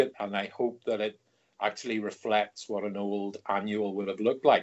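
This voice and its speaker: A man speaks at a moderate pace with a Northern Irish accent. His pitch sits fairly low. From Northern Ireland. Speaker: comics editor and writer. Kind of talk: interview.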